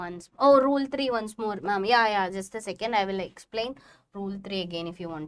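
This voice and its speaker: A woman with a Keralan accent speaks at a fairly quick pace in a medium pitch. Her pitch variation is ordinary, while her loudness swings widely. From Kerala, Kozhikode. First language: Malayalam. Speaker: chemistry teacher. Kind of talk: live online class lecture. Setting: livestream.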